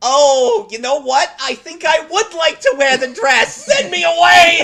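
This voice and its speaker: A put-on character voice, high in pitch, at a fairly slow pace. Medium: actual play. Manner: cheeky.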